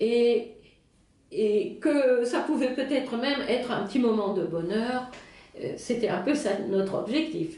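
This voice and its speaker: Speaking at a very slow pace with a German accent, a woman uses ordinary pitch variation amid audible room echo and noticeable background noise. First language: German (speaking French). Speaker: Alzheimer café organizer. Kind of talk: interview. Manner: halting, many fillers.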